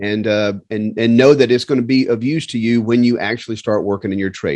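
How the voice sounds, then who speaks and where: A man's medium-pitched voice with a Southern US accent and ordinary pitch variation, over a quiet background. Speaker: flight instructor course host. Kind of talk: casual interview.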